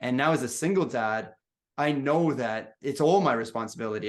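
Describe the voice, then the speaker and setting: Against a quiet background, a man talks in an animated tone at a fairly quick pace, with a medium pitch and ordinary pitch variation. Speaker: podcast host. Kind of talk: casual interview chat. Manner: repetitive false starts.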